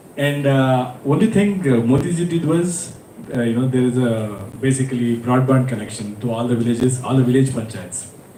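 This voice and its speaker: A man with a Karnataka accent talks at medium pitch and a moderate pace, using ordinary pitch variation. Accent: Indian English (Kannada). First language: Kannada. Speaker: panel speaker. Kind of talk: panel discussion.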